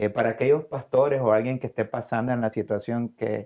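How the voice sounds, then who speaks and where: A man with a medium pitch and a dark, mellow tone talks at a fairly quick pace with ordinary pitch variation. The recording is very clean, with a silent background. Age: 60s. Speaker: church member giving testimony. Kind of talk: testimony.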